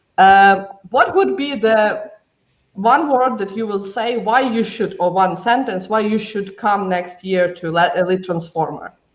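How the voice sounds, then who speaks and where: Someone speaks at a fairly slow pace with a non-native accent. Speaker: event moderator. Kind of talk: panel discussion.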